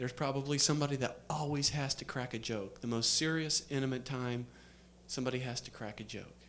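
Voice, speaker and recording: Using an ordinary speaking voice, a man talks at a fairly quick pace and medium pitch with fairly even intonation. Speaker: seminar speaker. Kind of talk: seminar talk.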